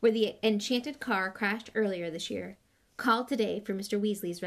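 A natural reading voice with pitch moving in an ordinary way

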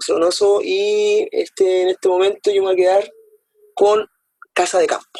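The man's loudness stays very even at a moderate pace, broken by long, frequent pauses, in a dry, close sound with no echo. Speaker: teacher and podcast co-host. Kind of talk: casual chat about books.

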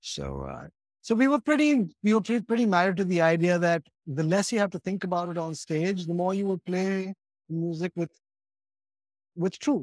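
A man's high-pitched voice with an Indian accent, ordinary pitch variation, a moderate pace, long and frequent pauses, and a dry, close sound with no echo. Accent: westernized Indian English. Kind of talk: casual interview conversation. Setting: remote call.

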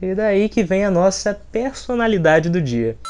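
The man's voice carries a dark, mellow tone. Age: 20s. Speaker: podcast host, journalist. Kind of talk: casual comedic monologue.

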